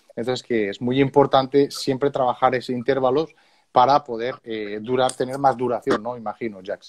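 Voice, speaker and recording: Dry and close with no echo, a man's medium-pitched voice proceeds at a moderate pace with fairly even intonation. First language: Spanish (speaking French). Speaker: interpreter and trombone school host. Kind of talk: consecutive interpreting. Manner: halting.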